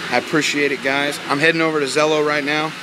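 A man talks at a very fast pace. Loud noise fills the background. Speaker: truck driver vlogger. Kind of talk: casual vlog chat. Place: workshop. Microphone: phone near.

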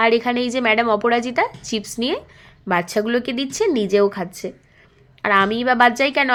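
The woman's voice sits high. Her pitch moves in an ordinary way. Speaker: vlogger. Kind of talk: travel vlog narration. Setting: outdoors. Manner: casual, chatty.

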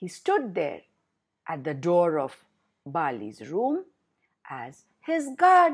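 Against a quiet background, a woman speaks very slowly with long, frequent pauses. Her tone is warm and her loudness swings widely. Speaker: storyteller. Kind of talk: bedtime storytelling to children. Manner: animated, repeating words for emphasis; warm, slow, coaxing with questions to listeners. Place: home room. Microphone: webcam.

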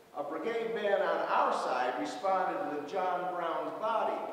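A man is heard with strong room echo. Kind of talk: storytelling introduction to audience. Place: hall.

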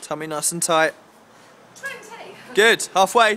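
Faint noise runs in the background. The delivery moves at a moderate speed. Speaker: fitness coach filming. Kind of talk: coaching instructions. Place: street. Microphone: phone near.

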